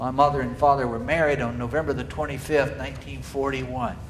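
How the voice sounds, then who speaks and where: A man with a Southern US accent talks at a fairly quick pace in a fairly high voice, with audible room echo and noticeable background noise. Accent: Southern US (Georgia). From US South, Marietta, Georgia. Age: 60s. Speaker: cathedral dean teaching an adult class. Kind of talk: lecture. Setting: church hall.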